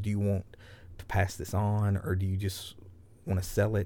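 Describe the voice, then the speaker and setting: A man's dark, mellow, somewhat breathy voice, fairly low in pitch, with an American accent at a moderate pace, in a very clean recording with a silent background. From US South. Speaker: business founder, Navy veteran. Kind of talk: casual interview. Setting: tour bus.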